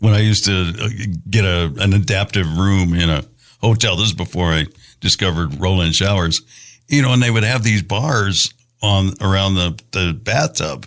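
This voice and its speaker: In a normal speaking voice, a man with a fairly low pitch talks at a moderate pace with ordinary pitch variation and very even loudness on a very clean recording with a silent background. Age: 60s. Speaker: podcast host, polio survivor, wheelchair user. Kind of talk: casual interview chat.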